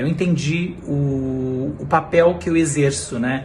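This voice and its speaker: The man's pitch is fairly high, with ordinary variation. Audible room echo surrounds his voice. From interior of São Paulo state, Brazil. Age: 30s. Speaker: TV reporter. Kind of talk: personal testimony. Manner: hesitant, many fillers.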